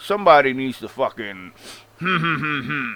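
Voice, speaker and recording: In a strong Long Island accent, a man talks at a moderate pace with lively intonation and a bright, sharp tone. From Long Island, New York. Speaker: wrestling commentary vlogger. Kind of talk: opinion rant. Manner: animated.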